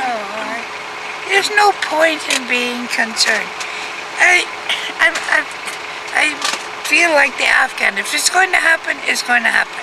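Over loud background noise, a speaker with an American accent talks fairly slowly with long, frequent pauses. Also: woman. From New York State, USA. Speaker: scholar of Afghanistan. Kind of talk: interview answer. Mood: calm, firm conviction. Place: car. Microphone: phone near.

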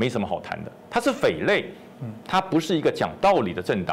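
His pitch swings very widely. The man speaks at a fairly quick pace. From Taiwan. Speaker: retired army general; guest. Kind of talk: political talk show commentary. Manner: animated. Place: studio. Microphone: lapel.

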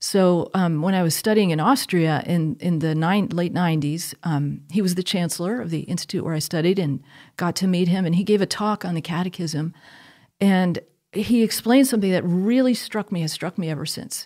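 A woman talks at a fairly quick pace with a fairly low pitch and ordinary pitch variation. Her tone is dark and mellow over a quiet background. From US Northeast, Connecticut. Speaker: theology professor. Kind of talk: conversational interview on faith; interview answer. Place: studio. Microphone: studio mic.

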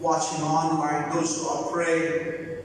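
Strong room echo and light background noise surround this woman's voice. She speaks at a very slow pace with a fairly low pitch. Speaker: prayer leader in a migrant worker church. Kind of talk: fervent closing prayer and benediction at a church service. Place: church. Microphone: podium.

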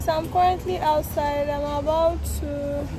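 A woman's voice comes through dry and without echo while crowd noise fills the background. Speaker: vlogger. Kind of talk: casual vlog chat. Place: street. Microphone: phone near.

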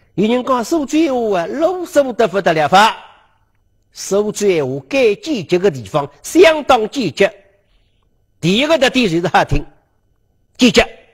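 Against a quiet background, a man with a high pitch and very wide pitch swings talks at a fairly slow pace with long, frequent pauses. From Suzhou, China; China. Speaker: lecturer on local history. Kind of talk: lecture. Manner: animated. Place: studio. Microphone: lapel.

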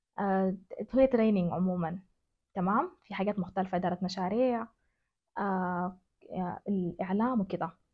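Against a quiet background, a woman with a Sudanese accent speaks at a moderate pace. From West Darfur, Sudan. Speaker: journalist and women's organization director. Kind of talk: interview answer. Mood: earnest, reflective. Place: home room.

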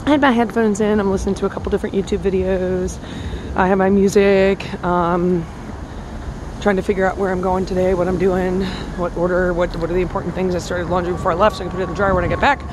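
Speaking at a very fast pace with fairly even intonation, a woman is recorded with a dry sound with no echo and noticeable background noise. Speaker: vlogger. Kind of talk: casual vlog chat. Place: street. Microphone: phone near.

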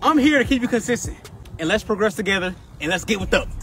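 The man talks at a fairly quick pace. The sound is dry with no echo, over light background noise. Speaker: fitness coach. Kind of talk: workout instruction and counting. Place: open country. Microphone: camera far.

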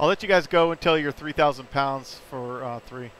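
A man's unremarkable speaking voice at a moderate pace with fairly even intonation. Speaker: flight sim stream host and flight lead. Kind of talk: radio dispatch, flight-lead briefing and callouts. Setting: live stream with voice chat. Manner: clipped, procedural; brisk, matter-of-fact.

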